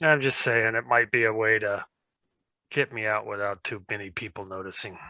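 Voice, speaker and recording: A man at medium pitch does a raspy put-on character voice. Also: moderate pace. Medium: actual play.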